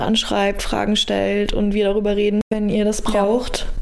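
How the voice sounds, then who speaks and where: A woman speaks at a medium pitch. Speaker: podcast co-host. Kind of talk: casual chat.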